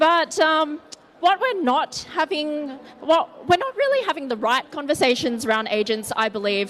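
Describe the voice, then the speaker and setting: A high-pitched woman with an Australian accent, very wide pitch swings and a moderate pace, over noticeable background noise. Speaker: tech company co-founder, conference speaker. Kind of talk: conference presentation. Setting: stage with audience. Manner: casual.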